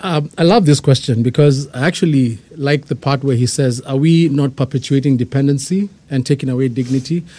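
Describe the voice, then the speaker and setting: A man with a Kenyan accent talks at a fairly quick pace with hardly any pauses. His voice is fairly high in pitch, somewhat breathy and dark and mellow in tone, with ordinary pitch variation. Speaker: church outreach team member. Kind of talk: casual chat.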